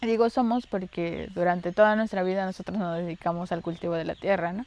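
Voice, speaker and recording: A woman speaks at a medium pitch. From Mexico, Campeche (Calakmul). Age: 30s. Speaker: interviewee, farmer's daughter. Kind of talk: documentary interview. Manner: halting, with fillers.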